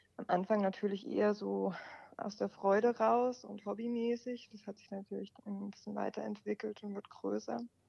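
The speaker keeps a moderate pace while the loudness swings widely. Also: woman. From Baden, southwest Germany (Offenburg). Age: 20s. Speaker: car journalist. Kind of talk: interview. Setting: phone call.

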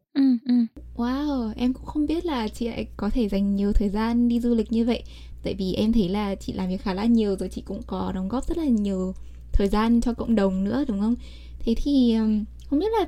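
A somewhat breathy woman's voice, medium in pitch with ordinary variation, at a fairly quick pace. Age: young. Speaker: podcast host. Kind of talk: interview.

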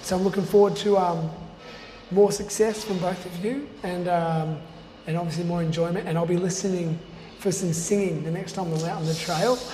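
A man with an Australian accent speaks at a moderate pace, pitched high with fairly even intonation and long, frequent pauses. Noticeable background noise runs under his voice. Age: 40s. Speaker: trail running podcast host. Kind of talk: interview.

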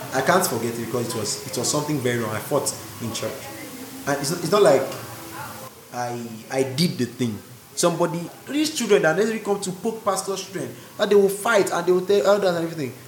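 A man with a high pitch, very wide pitch swings, a very fast pace and long, frequent pauses, with audible room echo and noticeable background noise. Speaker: pastor's kid. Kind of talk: casual chat.

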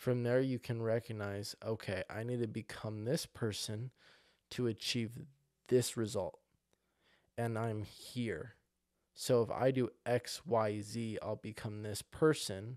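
A man talks at a fairly slow pace in a plain, everyday voice, with fairly even intonation. The recording is very clean, with a silent background. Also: medium pitch for a man, dry, close sound with no echo. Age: 20s. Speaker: podcast host. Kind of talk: motivational monologue.

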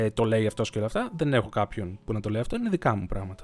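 Ordinary pitch variation paired with a fairly quick pace. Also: man. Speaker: podcaster. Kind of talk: unscripted solo monologue. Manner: long thinking pauses.

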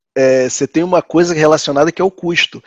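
Over a quiet background, a man with an ordinary speaking voice speaks at a fairly high pitch with ordinary pitch variation. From Rio de Janeiro, Brazil. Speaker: IT analyst. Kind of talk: casual group discussion.

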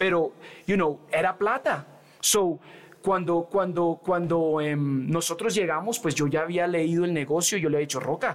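The man's pitch is high, and it varies in an ordinary way. He keeps to a moderate pace. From New York and Colombia. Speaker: rapper. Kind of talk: casual chat.

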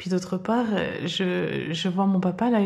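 A woman speaks at medium pitch and a very slow pace, with ordinary pitch variation. Her somewhat breathy voice has a dark, mellow tone. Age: 50s. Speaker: podcast guest. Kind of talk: interview. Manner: halting.

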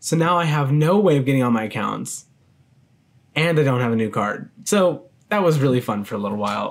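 A man with an ordinary speaking voice, medium pitch, lively intonation and a fairly quick pace. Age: 20s. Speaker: college student podcaster. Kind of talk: solo self-interview podcast, casual chat. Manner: casual, filler-heavy, laughs.

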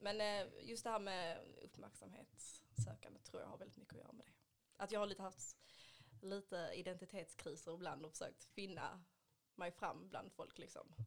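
Big swings in loudness from a woman speaking at a moderate pace. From Sweden, Ystad (Skåne). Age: 20s. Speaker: beauty industry worker, adoptee. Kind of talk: casual chat.

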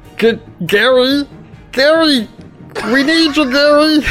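Over clear background music, a put-on character voice talks at a high pitch. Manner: pleading.

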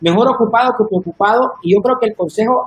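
With ordinary pitch variation, a man delivers his lines at a fairly quick pace. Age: 30s. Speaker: church media leader. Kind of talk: casual chat.

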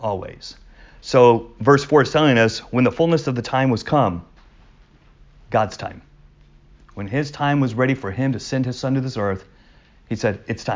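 A man at medium pitch with ordinary pitch variation, moderate pace and long, frequent pauses. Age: 40s. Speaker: pastor. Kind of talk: Bible study teaching.

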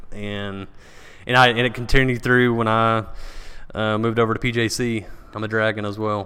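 A man with an American accent and a bright, sharp tone, in a monotone, flat intonation broken by long, frequent pauses. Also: moderate pace. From Paris, Texas. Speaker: event venue owner and event production professional. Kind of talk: casual podcast interview.

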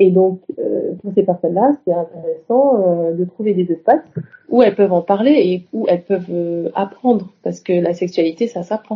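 The delivery keeps a moderate tempo, and its pitch varies in an ordinary way. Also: woman, medium pitch for a woman. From Senegal (Dakar). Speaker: psychologist and sexologist. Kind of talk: interview. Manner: halting.

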